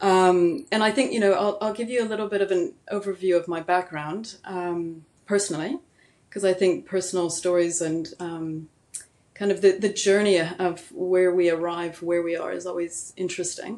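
An ordinary speaking voice, its pitch varying in an ordinary way. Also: woman, medium pitch for a woman, moderate pace. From US Southwest (New Mexico), born in Germany. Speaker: midwife and degrowth advocate. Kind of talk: interview conversation. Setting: remote call.

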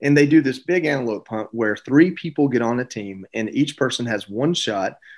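This man talks in a Southern US accent. He moves at a fairly quick pace. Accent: Southern US (Georgia). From US South, Georgia. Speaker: retired Marine bomb technician and TV host. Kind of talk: interview.

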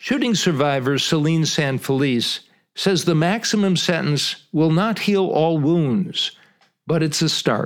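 This man has an ordinary speaking voice with a fairly high pitch and ordinary pitch variation. He talks at a fairly slow pace, his loudness very even. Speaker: retired TV news reporter and podcast host. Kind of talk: scripted narration.

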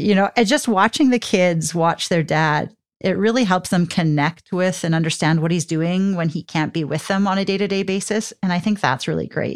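With a Canadian accent, a normal speaking voice moves at a moderate pace with hardly any pauses and ordinary pitch variation on a very clean recording with a silent background. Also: woman, medium pitch for a woman. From southern Alberta, Canada. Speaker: military spouse. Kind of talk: casual interview.

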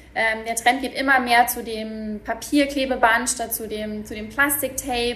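Noticeable background noise sits behind a woman speaking at a fairly slow pace. Her high voice is monotone and flat, with big swings in loudness. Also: hardly any pauses. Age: 30s. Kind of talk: interview. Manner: hesitant, many filler words.

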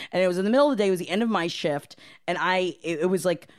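On a very clean recording with a silent background, a woman talks. Her pitch is medium, in an American accent. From Florida, US. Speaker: restaurant manager. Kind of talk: casual chat.

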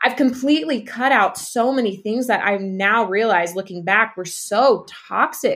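A woman with an American accent and an ordinary speaking voice speaks at a moderate pace and fairly high pitch, with ordinary pitch variation and hardly any pauses. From East Texas, US. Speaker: podcast guest, former teacher and nutrition coach. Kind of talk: casual interview chat.

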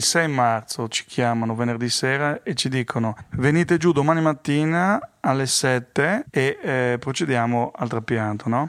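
A man speaks at a medium pitch and a fairly slow pace. His pitch varies in an ordinary way, and he hardly pauses. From Friuli, north-east Italy (born near Paris). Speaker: kidney donor partner. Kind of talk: interview testimony. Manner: halting.

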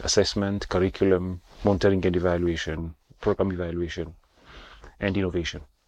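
Very deep and low, a man's voice moves at a fairly quick pace. The background is quiet. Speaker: medical school dean and surgeon. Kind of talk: interview. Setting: on location on campus.

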